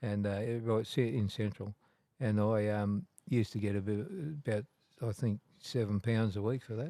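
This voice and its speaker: Speaking at a moderate pace with an Australian accent, a man has a fairly low pitch, a dark, mellow tone and fairly even intonation, in a dry, close sound with no echo. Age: 70s. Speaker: tattoo artist. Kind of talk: casual interview, storytelling. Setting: in a tattoo shop. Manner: halting, many repeats and fillers.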